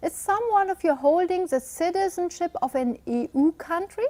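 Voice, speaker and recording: Speaking at a fairly slow pace with a non-native accent, a woman swings her pitch very widely, recorded with a dry, close sound and no echo. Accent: non-native English speaker. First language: German. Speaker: webinar presenter, immigration law advisor. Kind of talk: webinar presentation. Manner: hesitant, with fillers.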